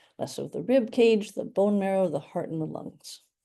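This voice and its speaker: With a Canadian accent, a woman speaks at a moderate pace and medium pitch, her dark, mellow tone carrying lively intonation over a quiet background. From Canada. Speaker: radiation oncologist. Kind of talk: educational talk. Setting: hybrid workshop with audience. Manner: hesitant fillers (um, uh).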